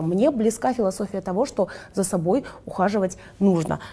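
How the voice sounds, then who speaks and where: Dark, mellow tone and lively intonation from a woman. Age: 20s. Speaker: influencer and entrepreneur. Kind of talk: interview conversation.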